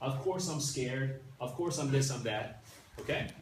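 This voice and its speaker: A man's medium-pitched voice carries audible room echo as noticeable background noise runs beneath it. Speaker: class teacher. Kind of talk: lecture. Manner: fast.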